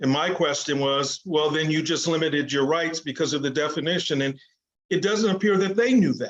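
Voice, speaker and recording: At a fairly quick pace, a man speaks in a normal speaking voice, his pitch fairly high with ordinary variation. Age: 60s. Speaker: sports lawyer. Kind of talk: interview.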